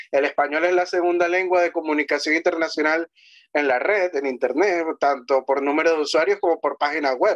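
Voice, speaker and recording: A plain, everyday voice moves at a fairly quick pace with fairly even intonation and very even loudness against a quiet background. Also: man, fairly high pitch for a man. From Venezuela. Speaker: history commentator. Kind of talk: conversational interview on history and language. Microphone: video call.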